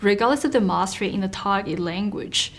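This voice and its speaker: With noticeable background noise behind her, a woman speaks at a moderate pace and medium pitch. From China. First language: Chinese. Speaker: author and mentor. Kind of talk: interview. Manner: formal.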